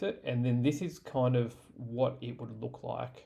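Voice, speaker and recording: Somewhat breathy and with an Australian accent, a man talks fairly slowly at a medium pitch. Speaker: tech tutorial creator. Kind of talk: tutorial. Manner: casual, many fillers (um, uh).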